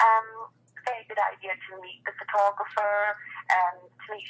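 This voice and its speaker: With a Scottish accent, a woman speaks at medium pitch and with fairly even intonation. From Scotland. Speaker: wedding photographer. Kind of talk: interview. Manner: hesitant, many fillers.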